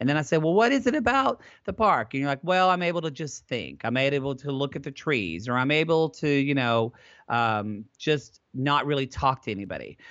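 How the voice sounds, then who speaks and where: A man with an American accent has a plain, everyday voice and a fairly high pitch. He talks at a moderate pace with lively intonation. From Southern Oklahoma. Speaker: therapist and advice podcaster. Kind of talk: interview conversation.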